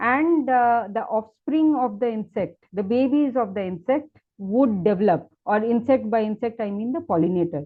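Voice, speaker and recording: An unremarkable speaking voice at a moderate pace, with lively intonation and hardly any pauses. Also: woman, fairly high pitch for a woman. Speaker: plant ecologist, invited speaker. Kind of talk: webinar lecture. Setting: online webinar.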